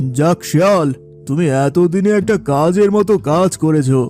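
Doing a cartoonish character voice, a man speaks fairly slowly at a fairly high pitch over clear music in the background.

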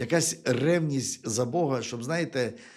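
A man talks at a moderate pace, his pitch varying in an ordinary way. Behind him is silence, in a very clean recording. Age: 50s. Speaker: preacher. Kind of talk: sermon. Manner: halting, with frequent repetitions.

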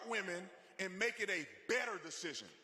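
Over noticeable background noise, a man speaks in a raised, projected voice with an animated tone. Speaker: speaker at a conservative rally. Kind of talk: rally speech with faith-based, preacher-like appeal to a live crowd. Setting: stage with live audience. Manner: animated, fervent, exhorting the crowd, repetitive for emphasis; conversational, personal, with humor and crowd banter.

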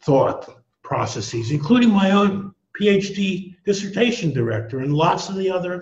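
There is audible room echo as a man speaks at a fairly slow pace in a somewhat breathy voice. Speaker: economics professor guest. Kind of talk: interview answer. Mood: reflective, somewhat indignant. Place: home room. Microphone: headset.

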